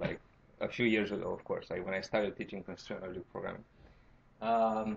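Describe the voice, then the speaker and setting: Speaking at a fairly quick pace with a Romanian accent, a man leaves long, frequent pauses. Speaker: university lecturer. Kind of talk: tutorial. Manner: halting.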